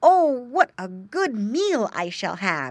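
A female-sounding, put-on character voice speaks at a very slow pace in a high pitch, with very wide pitch swings. The recording is very clean, with a silent background. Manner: grunting.

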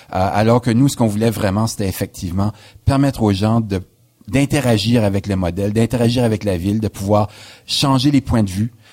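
A man's fairly low voice has a dark, mellow tone in a dry, close sound with no echo, recorded very cleanly over a silent background. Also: fairly even intonation. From New Brunswick, Canada. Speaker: historian, professor. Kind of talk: radio interview. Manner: hesitant, frequent filler words.

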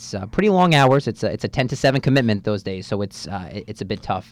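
A man talks with a New Jersey accent. His pace is very fast. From North Jersey, USA. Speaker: student radio manager. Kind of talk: radio interview. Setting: radio studio.

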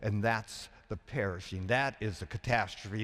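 On a very clean recording with a silent background, a man with an American accent and an unremarkable speaking voice talks at a moderate pace and medium pitch. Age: 60s. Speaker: preacher. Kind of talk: sermon.

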